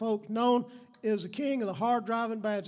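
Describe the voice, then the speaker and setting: In a Southern US accent, a man speaks with audible room echo around him. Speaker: emcee introducing musicians. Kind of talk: stage introduction. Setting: stage with audience. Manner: animated.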